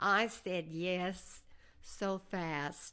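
A woman's fairly low pitch in an American accent. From Oklahoma, US. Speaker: retired real estate executive and author. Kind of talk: interview, life story.

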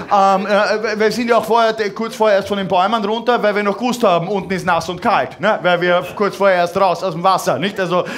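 The speaker talks at a fairly quick pace with ordinary pitch variation. There is light background noise. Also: man. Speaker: cabaret artist. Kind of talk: cabaret stage performance. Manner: hesitant, halting, ironic. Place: stage. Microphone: headset.

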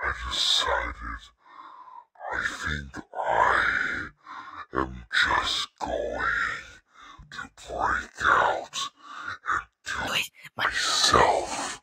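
A man's raspy, put-on character voice at a very slow pace, with long, frequent pauses. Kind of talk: game character voice lines.

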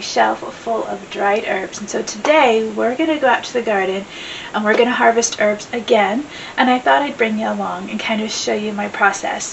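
A woman at a moderate pace, ordinary pitch variation, light background noise. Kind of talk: casual vlog chat. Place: home room.

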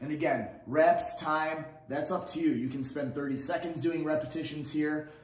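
The speech moves at a moderate pace. An echo from the room is audible. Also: man. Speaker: fitness instructor. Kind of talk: tutorial. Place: empty room.

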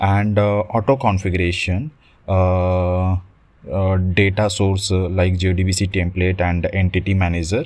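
A man at a low pitch with a slightly mellow tone, fairly slow pace, few pauses and little pitch movement

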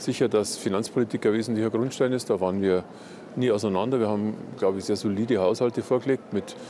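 A man talks very fast at a fairly low pitch, with fairly even intonation and very even loudness. The sound is dry with no echo, over light background noise. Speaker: interviewee. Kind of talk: interview answer. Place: market. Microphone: lapel.

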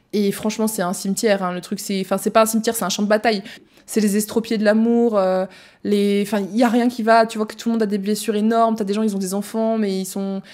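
Over a quiet background, a woman speaks at a fairly quick pace in a monotone, flat intonation. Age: 20s. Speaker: podcast host. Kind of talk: personal testimony; casual podcast storytelling. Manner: hesitant, many fillers. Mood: emotional, candid. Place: home room. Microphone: studio mic.

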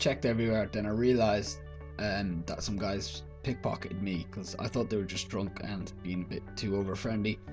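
With clear music in the background, a man speaks in an Irish accent with ordinary pitch variation. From Ireland. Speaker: vlogger. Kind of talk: casual talk to camera. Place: home room. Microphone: webcam.

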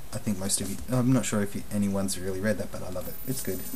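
A man's fairly low voice at a very fast pace, with fairly even intonation and noticeable background noise. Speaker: vlogger. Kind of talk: casual vlog monologue. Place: home room. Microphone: webcam.

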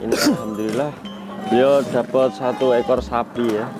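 Male speech at a moderate pace with ordinary pitch variation, dry with no echo, and clear music in the background. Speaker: vlogger filming a calf purchase. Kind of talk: casual vlog commentary. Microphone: phone near.

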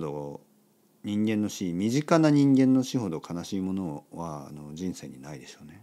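Here a man talks at a moderate pace with lively intonation. His tone is dark and mellow. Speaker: podcast host, Japanese teacher. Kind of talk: casual monologue for language learners.

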